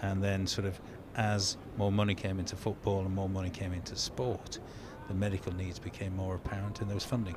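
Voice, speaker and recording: Speaking with a Lancashire accent, a man talks at a fairly quick pace in a fairly low pitch, his intonation monotone and flat. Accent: Lancastrian. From northern England, Lancaster. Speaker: club doctor. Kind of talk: casual chat.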